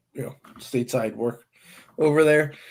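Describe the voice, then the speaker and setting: A man's fairly high voice in an American accent, with ordinary pitch variation. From US Midwest (Nebraska). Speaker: sports commentator, football fan. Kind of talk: casual chat. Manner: hesitant, many fillers.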